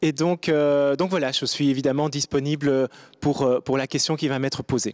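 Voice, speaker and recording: The speech runs at a moderate pace with fairly even intonation and very even loudness, in a dry, close sound with no echo. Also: man, fairly high pitch for a man. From Belgium, Brussels. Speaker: diplomat. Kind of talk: panel discussion. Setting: studio. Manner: halting.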